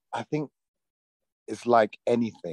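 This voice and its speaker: Speaking with a British accent, a man talks at a fairly slow pace. His voice sits at a medium pitch, and the sound is dry and close with no echo. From London, England. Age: 40s. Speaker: actor. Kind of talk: interview. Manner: halting, many fillers.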